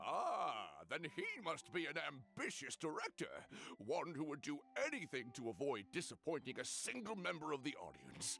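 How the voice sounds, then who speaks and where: Over clear background noise, a man does a put-on character voice at a fairly high pitch and a moderate pace. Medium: video game. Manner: theatrical, enthusiastic.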